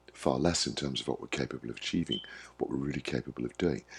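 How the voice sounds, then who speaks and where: This man speaks with vocal fry. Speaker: wellbeing coach. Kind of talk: monologue to camera. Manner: warm, friendly.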